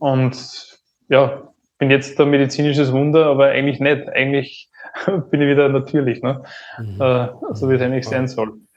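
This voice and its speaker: A man's monotone, flat delivery unfolds at a fairly slow pace. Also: fairly high pitch for a man. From Upper Austria. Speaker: entrepreneur and business turnaround consultant. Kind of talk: podcast interview.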